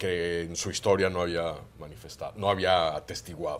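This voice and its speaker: A man with a Catalan accent speaks in a very deep, low pitch. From Mexico. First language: Catalan (speaking Spanish). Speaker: former ambassador. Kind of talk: TV panel discussion.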